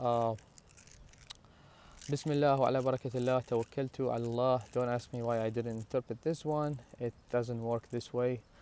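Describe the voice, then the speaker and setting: A man's medium-pitched voice with a dark, mellow tone, flat monotone intonation and a moderate pace. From Iraq. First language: Arabic. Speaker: religious vlogger. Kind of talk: personal talk to camera. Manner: halting, many fillers and restarts.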